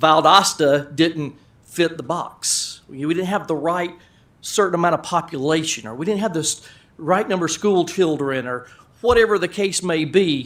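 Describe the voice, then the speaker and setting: A man talks loudly at a high pitch and a moderate pace. His pitch variation is ordinary. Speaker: business owner. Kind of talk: presentation. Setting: council meeting room.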